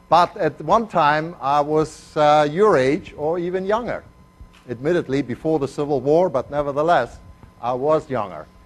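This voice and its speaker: Music plays in the background as a man talks at a fairly high pitch and a moderate pace. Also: ordinary pitch variation. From Argentina, then Germany. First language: Spanish. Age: old. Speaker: chemistry professor. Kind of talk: lecture. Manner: hesitant, many fillers.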